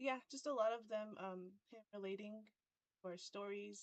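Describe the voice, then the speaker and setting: In an American accent, a woman talks with a medium pitch. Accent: Navajo English. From Navajo Nation, Arizona. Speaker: podcast co-host. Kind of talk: casual chat. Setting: live stream.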